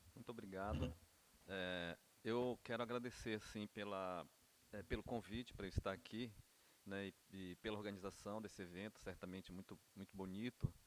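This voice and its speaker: With an unremarkable speaking voice, a man talks at a moderate pace in a fairly low pitch and fairly even intonation. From Brazil, Amapá (Amazon region). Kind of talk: conference talk. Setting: university conference panel.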